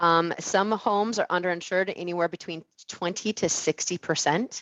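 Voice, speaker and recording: The woman's voice sits at a fairly low pitch with ordinary pitch variation. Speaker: insurance executive. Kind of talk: webinar presentation. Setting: webinar. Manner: fast; many filler words.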